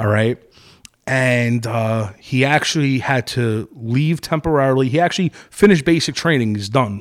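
Here a man talks at medium pitch with a Brooklyn accent. His pace is moderate. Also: ordinary pitch variation. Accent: New York (Brooklyn). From Brooklyn, New York. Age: 30s. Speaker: restaurant and venue owner. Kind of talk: casual chat.

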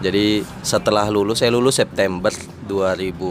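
Moderately paced speech from a man, ordinary pitch variation, background music underneath. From Indonesia, Kupang (East Nusa Tenggara). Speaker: journalist. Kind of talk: casual chat.

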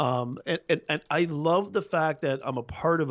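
A plain, everyday voice from a man, fairly high in pitch with ordinary pitch variation. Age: 40s. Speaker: business communications professor and YouTube coach. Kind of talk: podcast interview.

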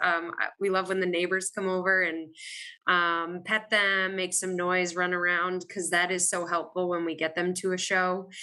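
A woman in a medium pitch with a bright, sharp tone, monotone, flat intonation and a moderate pace. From Maine. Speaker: show cattle breeder and church director. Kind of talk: webinar panel discussion.

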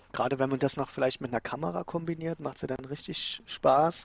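Pitch variation is ordinary, and the pace runs fairly quick. It is a plain, everyday voice. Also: man. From Saxony, Dresden. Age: 30s. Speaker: office worker. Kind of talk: casual chat. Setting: remote call from home office.

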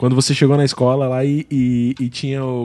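A man with a normal speaking voice, medium pitch, fairly even intonation and a moderate pace. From Brazil, interior of Paraná. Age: 30s. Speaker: podcast host. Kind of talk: casual chat. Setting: studio.

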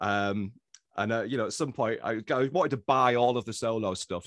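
A man with an English accent, medium pitch and ordinary pitch variation, in a dry, close sound with no echo against a quiet background. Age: 40s. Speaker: writer. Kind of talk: casual chat.

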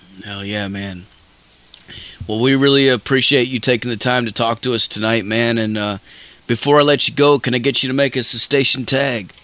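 A man talks at a moderate pace and a medium pitch. Noticeable background noise runs underneath. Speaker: radio host. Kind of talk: radio dj patter. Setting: live radio show, studio. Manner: loud, fired-up, profanity-laden hype; casual, dude-bro enthusiastic.

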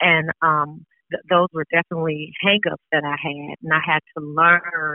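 A woman's very deep, low voice with an American accent, flat monotone intonation and a moderate pace. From Las Vegas, Nevada, US. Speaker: author and abuse survivor. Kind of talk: reading aloud from her book; interview. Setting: phone call.

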